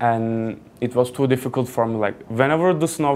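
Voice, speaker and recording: He speaks with a Turkish accent. The man's pitch is medium. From Turkey, Kuşadası (Aegean coast). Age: 20s. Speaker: student speaker. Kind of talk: personal talk to an audience. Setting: stage with audience. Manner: casual, halting with fillers.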